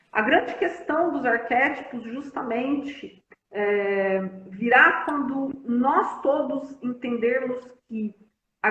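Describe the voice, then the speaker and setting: Audible room echo surrounds a woman's high-pitched voice. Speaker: family constellation therapist. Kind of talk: live-stream conversation. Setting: Instagram live stream.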